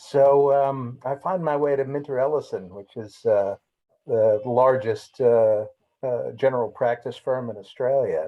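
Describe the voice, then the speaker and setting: A man with an American accent, medium pitch, fairly even intonation and a fairly slow pace. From United States. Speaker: lawyer, former trade negotiator. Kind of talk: self-introduction in webinar. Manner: halting, many fillers.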